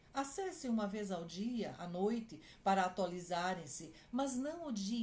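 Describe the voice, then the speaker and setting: A woman speaks fairly slowly in a dark, mellow, somewhat breathy voice with very wide pitch swings. Room echo is audible. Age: 60s. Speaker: clinical psychologist. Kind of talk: advice talk to families.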